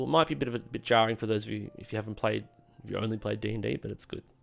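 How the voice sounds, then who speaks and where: Over music in the background, a man with a fairly low voice talks at a very fast pace. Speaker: game master streamer. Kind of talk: live stream Q&A. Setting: live stream.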